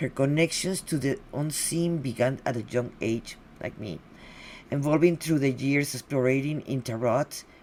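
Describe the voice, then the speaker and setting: Speaking in a Spanish accent at a moderate pace, a woman has a very deep, low pitch with ordinary pitch variation. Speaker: podcast host. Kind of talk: guest introduction. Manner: halting.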